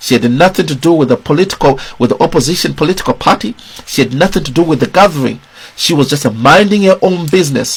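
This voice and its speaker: Speaking with a Zimbabwean accent, a man talks at a very fast pace in a fairly high pitch. His intonation is lively, and there is noticeable background noise. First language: Shona. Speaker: political commentator. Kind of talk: video commentary.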